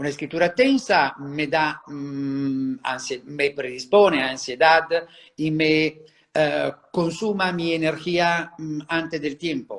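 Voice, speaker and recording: Speaking very slowly in an Italian accent, a man uses a fairly high pitch with ordinary pitch variation. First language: Italian (speaking Spanish). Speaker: handwriting psychology expert. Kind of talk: interview. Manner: halting, many fillers.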